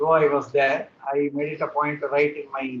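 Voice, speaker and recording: A man with a Tamil accent at a fairly high pitch and a moderate pace. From India, Hyderabad. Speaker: poet. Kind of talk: interview. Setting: video call. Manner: halting.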